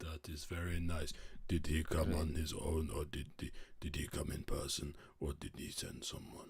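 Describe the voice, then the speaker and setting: In a put-on character voice, a man talks at a moderate pace with a very deep, low pitch and monotone, flat intonation. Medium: actual play. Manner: halting broken grammar.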